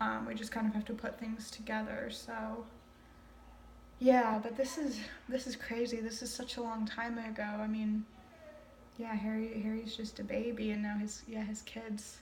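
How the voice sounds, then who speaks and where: A moderate pace with monotone, flat intonation over noticeable background noise. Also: woman, fairly high pitch for a woman. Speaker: amateur reader. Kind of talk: casual reading commentary. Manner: casual, hesitant, trips over words.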